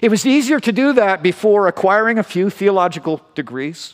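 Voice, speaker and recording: This man has a Canadian accent. His voice is high in pitch. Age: 50s. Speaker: pastor. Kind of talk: sermon.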